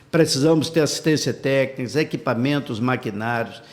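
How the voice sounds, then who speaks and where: A man is speaking. His pace is moderate. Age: 60s. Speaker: politician, gubernatorial pre-candidate. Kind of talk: interview. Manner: animated.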